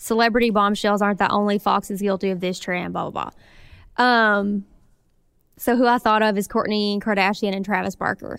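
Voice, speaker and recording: A woman with a Southern US accent speaks at a fairly quick pace and a medium pitch. Her intonation is monotone and flat, on a very clean recording with a silent background. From Arkansas. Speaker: podcast co-host. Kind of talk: casual chat.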